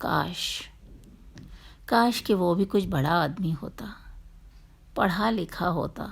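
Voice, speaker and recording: Long, frequent pauses break up a woman's fairly low voice, which has vocal fry and ordinary pitch variation. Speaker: storyteller. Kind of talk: story narration.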